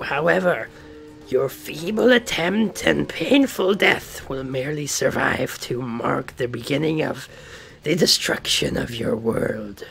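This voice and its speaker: Over clear background music, a man puts on a character voice, talking fairly slowly at a fairly high pitch. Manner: menacing, sinister.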